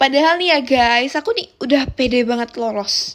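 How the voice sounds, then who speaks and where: Speaking very slowly in a strong Javanese accent, a woman uses a high pitch with ordinary pitch variation. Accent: strong Javanese (medok). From Central Java, Semarang. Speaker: university student podcaster. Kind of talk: casual solo podcast chat. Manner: relaxed, chatty.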